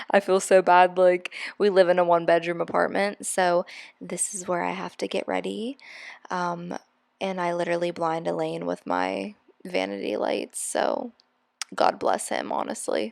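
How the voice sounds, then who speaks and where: The recording is very clean, with a silent background. A woman talks at a moderate pace. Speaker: hairstylist and beauty vlogger. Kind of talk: casual vlog narration. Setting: at home vanity, apartment. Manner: stumbles over words; chatty, informal.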